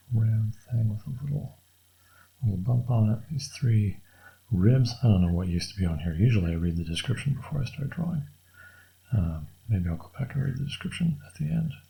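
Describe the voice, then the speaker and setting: Soft-spoken and relaxed, a man mumbles at a fairly quick pace around a medium pitch with very wide pitch swings, leaving long, frequent pauses. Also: big swings in loudness. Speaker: artist drawing on camera. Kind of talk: casual drawing tutorial commentary. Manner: soft-spoken, mumbling quietly; relaxed, thinking aloud with fillers.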